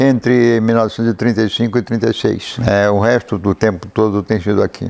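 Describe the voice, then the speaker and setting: Delivered at a fairly quick pace, the speech holds a very even loudness and a monotone, flat intonation. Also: man, fairly low pitch for a man. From Brazil, Paraty (Rio de Janeiro state coast). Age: 80s+. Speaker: local writer and chronicler. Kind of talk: interview, personal memories. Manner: halting, with hesitations.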